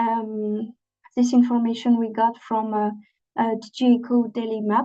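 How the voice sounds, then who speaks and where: A woman's fairly high-pitched voice, dark and mellow in tone, monotone and flat, at a moderate pace, with a non-native accent. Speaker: training presenter. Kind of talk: webinar presentation. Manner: halting, many fillers.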